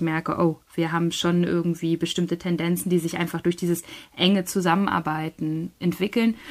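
A woman's fairly low, monotone and flat voice at a moderate pace. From northern Germany, Schleswig-Holstein. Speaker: novelist and literary scholar. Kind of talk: interview.

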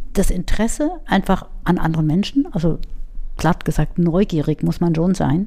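A woman's dark, mellow tone, fairly low in pitch, with very even loudness. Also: ordinary pitch variation, moderate pace. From Munich, Bavaria. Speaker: head of a telephone crisis counselling service. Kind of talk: interview.

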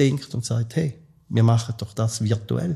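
In a quiet background, a man talks fairly quickly at medium pitch, somewhat breathy, with a dark, mellow tone. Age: 60s. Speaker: lecturer and podcast host. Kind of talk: expert interview.

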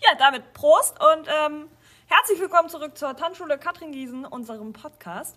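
Her voice raised and projected, a woman speaks at a moderate pace with a high pitch, a bright, sharp tone, lively intonation and big swings in loudness. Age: 40s. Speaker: dance school staff and podcast co-host. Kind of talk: casual chat.

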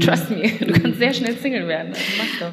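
Talking at a very fast pace, a woman is heard over noticeable background noise. Room echo is audible. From Lower Rhine region, western Germany. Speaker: podcast host and columnist. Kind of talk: casual chat.

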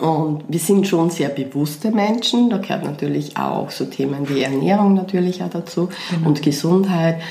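With a Weinviertel accent, a woman speaks at a fairly low pitch with an animated tone, ordinary pitch variation and a moderate pace. Audible room echo and noticeable background noise come through. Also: hardly any pauses. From Lower Austria, Weinviertel. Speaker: podcast host, coach. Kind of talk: casual chat. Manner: animated, laughing.

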